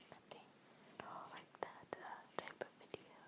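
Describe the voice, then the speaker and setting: Whispering from a woman over noticeable background noise. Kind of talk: casual ASMR update ramble. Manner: whispered.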